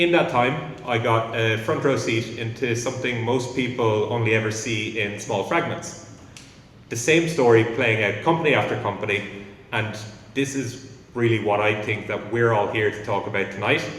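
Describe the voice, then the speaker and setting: Speaking with an Irish accent, a man talks at a moderate pace and medium pitch with ordinary pitch variation, over noticeable background noise and audible room echo. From Ireland. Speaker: company founder. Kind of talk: conference talk. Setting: stage with audience.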